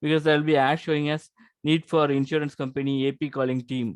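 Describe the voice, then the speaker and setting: Against a quiet background, a man speaks at a fairly high pitch with monotone, flat intonation. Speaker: YouTube educator on insurance jobs. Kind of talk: tutorial. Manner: hesitant, many fillers.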